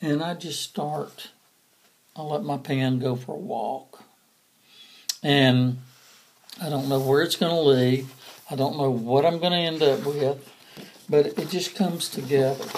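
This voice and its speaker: In a relaxed tone, a man with a fairly high pitch and ordinary pitch variation speaks at a fairly slow pace with long, frequent pauses. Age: 60s. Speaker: doodle artist and coloring book author. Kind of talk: casual talk to camera. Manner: relaxed, hesitant with fillers.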